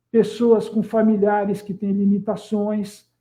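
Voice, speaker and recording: This man speaks at a high pitch. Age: 60s. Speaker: live stream host, local politician. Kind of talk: live stream introduction. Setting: online live stream. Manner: hesitant, with repetitions.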